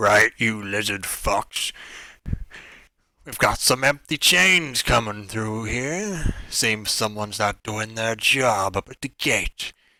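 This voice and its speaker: In a gruff, put-on character voice, a man shouts at a fairly slow pace on a very clean recording with a silent background. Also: medium pitch for a man. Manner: shouting, gruff.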